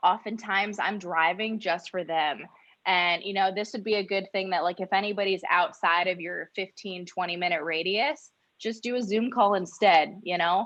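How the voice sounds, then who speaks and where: With an American accent, a woman speaks in a normal speaking voice at medium pitch, a moderate pace and fairly even intonation. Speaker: insurance sales agent. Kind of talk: training talk.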